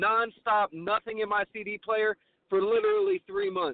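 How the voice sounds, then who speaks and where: With an American accent, a man talks at a moderate pace, his pitch high with ordinary variation. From Ohio. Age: 30s. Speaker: hip hop artist. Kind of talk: casual interview chat.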